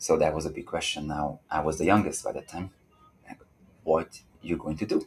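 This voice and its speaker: A man with a Hungarian accent, pausing long and often. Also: fairly quick pace, big swings in loudness. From Hungary. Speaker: dancer. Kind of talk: interview.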